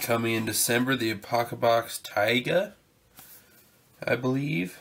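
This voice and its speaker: Noticeable background noise sits behind this recording. A man with a medium-pitched voice talks at a fairly slow pace. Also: ordinary pitch variation. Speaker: survival channel host, product unboxing. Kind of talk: casual unboxing video.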